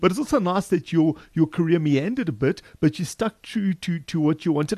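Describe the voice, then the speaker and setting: A man's very fast speech with lively intonation, dry and close with no echo. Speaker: podcast co-host. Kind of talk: casual chat.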